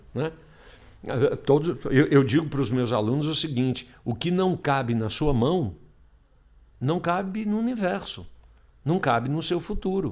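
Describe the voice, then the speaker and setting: Fairly slow speech from a man at a fairly high pitch, with very wide pitch swings and long, frequent pauses, on a very clean recording with a silent background. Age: 60s. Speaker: emotional intelligence specialist. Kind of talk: casual chat.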